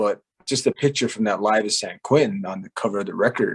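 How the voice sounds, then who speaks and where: A man speaks at a moderate pace. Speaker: singer-songwriter. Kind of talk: interview. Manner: conversational, relaxed.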